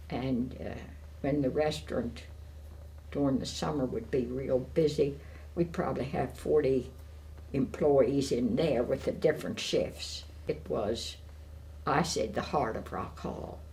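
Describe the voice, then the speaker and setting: With an American accent, a woman speaks at a fairly slow pace in a very deep, low voice with vocal fry, very wide pitch swings, long and frequent pauses, and audible room echo. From Maryland, USA. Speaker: retired seafood business owner. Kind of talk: oral history interview. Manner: hesitant with frequent fillers.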